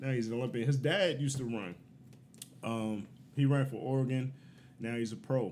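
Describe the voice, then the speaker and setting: Audible room echo surrounds a man of medium pitch who talks at a fairly quick pace with ordinary pitch variation and long, frequent pauses. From Baltimore, US. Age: 30s. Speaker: military veteran and show promoter. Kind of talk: casual chat.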